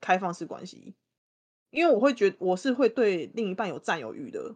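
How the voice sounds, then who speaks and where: In a normal speaking voice, a woman talks at a moderate pace and medium pitch. The sound is dry and close with no echo, over a quiet background. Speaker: guest co-host. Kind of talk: casual chat.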